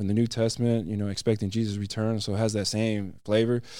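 With an American accent, a man speaks at a medium pitch in a dark, mellow tone. The recording is very clean, with a silent background. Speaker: volunteer teacher and nonprofit founder. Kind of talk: testimony. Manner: halting, stutters at times.

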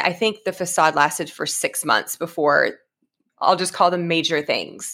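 A woman with an American accent, bright, sharp tone and moderate pace, on a very clean recording with a silent background. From Oklahoma. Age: 40s. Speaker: mental health therapist. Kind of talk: casual interview, personal testimony.

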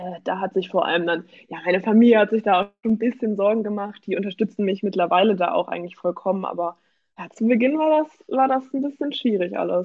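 At a very fast pace, a woman speaks in a medium pitch with ordinary pitch variation. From Germany, Hamburg. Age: 20s. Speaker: amateur bodybuilder. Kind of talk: casual interview.

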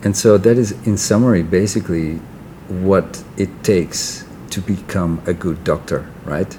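With noticeable background noise behind him, a man talks at a fairly slow pace in a very deep, low pitch with fairly even intonation. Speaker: podcast host. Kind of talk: interview.

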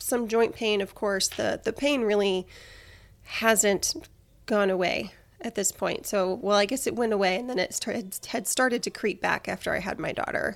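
Her speech is fairly slow, with ordinary pitch variation and fairly high pitch, in an unremarkable speaking voice. The woman is recorded very cleanly against a silent background. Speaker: health podcast host and personal trainer. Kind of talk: personal health story monologue.

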